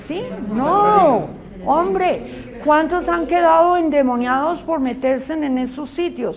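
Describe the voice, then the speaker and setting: A woman speaks at a fairly slow pace in a room with audible echo. Noticeable background noise runs underneath. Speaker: Bible school teacher. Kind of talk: lecture.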